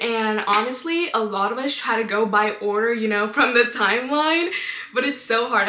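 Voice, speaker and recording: With noticeable background noise and audible room echo, a woman speaks at a fairly high pitch. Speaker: podcast host sharing her faith testimony. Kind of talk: personal testimony. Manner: casual, filler-heavy.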